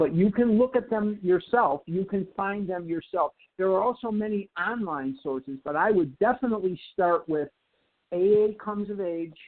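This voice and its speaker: At a fairly slow pace, a man with an American accent speaks in a high voice with ordinary pitch variation. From Chicago, US Midwest. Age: 60s. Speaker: recovery group speaker. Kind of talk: Q&A in recovery meeting.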